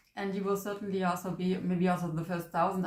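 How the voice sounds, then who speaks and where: A woman with a German accent speaks at a medium pitch with fairly even intonation. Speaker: manifestation coach. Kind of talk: casual vlog introduction. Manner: halting.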